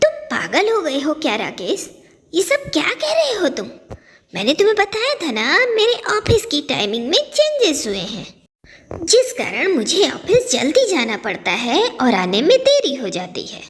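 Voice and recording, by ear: Using a cartoonish character voice, a woman goes extremely high in pitch with very wide pitch swings at a moderate pace.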